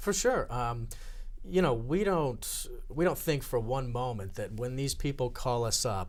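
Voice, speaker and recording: A man uses an ordinary speaking voice with lively intonation at a moderate pace. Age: 30s. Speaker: director of a senior employment program. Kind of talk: talk show interview.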